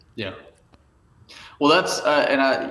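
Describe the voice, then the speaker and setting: A man talks with a Southern US accent. Room echo is audible. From rural Arkansas. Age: 40s. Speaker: photographer. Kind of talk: podcast interview.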